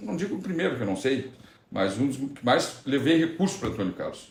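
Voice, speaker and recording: A somewhat breathy man talks at a moderate pace with lively intonation, with audible room echo around him. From Rio Grande do Sul, Brazil (Candiota). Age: 40s. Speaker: city councillor. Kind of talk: interview, casual chat. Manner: halting, with false starts.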